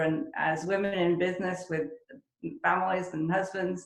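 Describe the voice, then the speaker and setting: Amid audible room echo, a woman talks at a moderate pace and fairly low pitch with fairly even intonation. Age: 60s. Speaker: real estate agent. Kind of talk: interview.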